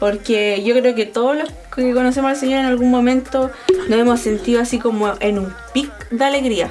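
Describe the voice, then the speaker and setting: With a Chilean accent, the speaker talks at a moderate pace with fairly even intonation amid noticeable background noise. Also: woman, high pitch for a woman. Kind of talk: casual chat.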